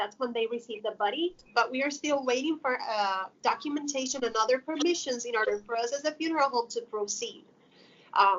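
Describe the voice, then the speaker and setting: In a Spanish accent, a woman talks in a high pitch. Her pace is fairly quick. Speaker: funeral home worker. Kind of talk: interview.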